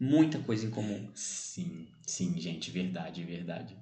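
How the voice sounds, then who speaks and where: The man speaks at a fairly slow pace. Room echo is audible. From Brazil, São Bernardo do Campo (São Paulo area). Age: 20s. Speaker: podcast co-host. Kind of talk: casual chat.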